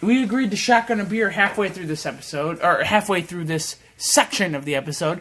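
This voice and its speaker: Over noticeable background noise, a man speaks high-pitched and fairly quick, with hardly any pauses. His loudness swings widely while his pitch varies in an ordinary way. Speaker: podcast co-host. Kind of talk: casual chat.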